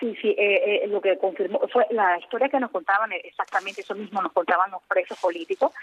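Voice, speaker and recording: Over noticeable background noise, a woman speaks very fast at a medium pitch. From Nicaragua. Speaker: journalist. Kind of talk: interview.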